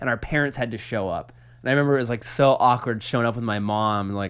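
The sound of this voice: With a fairly bright tone and medium pitch, a man talks at a fast pace and ordinary pitch variation.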